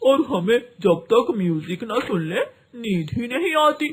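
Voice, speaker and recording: A cartoonish character voice with a fairly high pitch talks at a moderate pace. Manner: jolly, loud.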